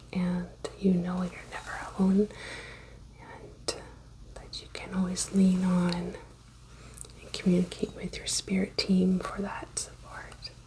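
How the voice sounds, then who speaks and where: A soft-spoken woman with long, frequent pauses and big swings in loudness, against noticeable background noise. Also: fairly slow pace. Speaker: reiki practitioner. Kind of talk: ASMR reiki session.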